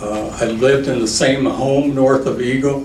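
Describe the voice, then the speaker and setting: A man with an American accent talks at a fairly slow pace and a medium pitch, his intonation fairly even. Audible room echo and noticeable background noise are present. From Iowa, US Midwest. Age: 60s. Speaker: retired veteran, landowner giving public testimony. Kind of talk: public testimony.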